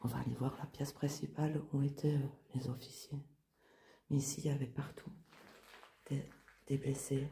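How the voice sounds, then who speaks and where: Quiet and somewhat breathy, a woman speaks at a moderate pace with a very deep, low pitch, a dark, mellow tone, monotone, flat intonation and long, frequent pauses. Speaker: urban explorer and paranormal vlogger. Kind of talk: on-location vlog narration. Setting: outdoors / inside a ruined castle at night. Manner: quiet, lowered voice.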